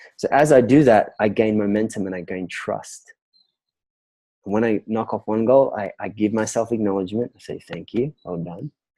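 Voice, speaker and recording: With an Australian accent, a man speaks at a moderate pace and fairly low pitch in a dark, mellow tone, his loudness swinging widely in a dry, close sound with no echo. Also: ordinary pitch variation. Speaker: business and relationship coach. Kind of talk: interview answer.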